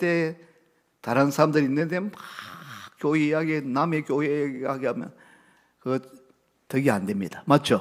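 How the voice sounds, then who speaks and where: A man with a Gyeongsang accent and a fairly high pitch. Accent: Gyeongsang intonation. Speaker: pastor. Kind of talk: sermon. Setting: church service. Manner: strong, emphatic intonation.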